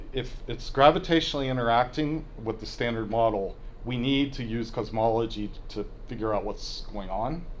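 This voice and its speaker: There is audible room echo around a man's voice. His pitch varies in an ordinary way. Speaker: physics professor giving a colloquium talk. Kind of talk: lecture. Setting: university colloquium with audience.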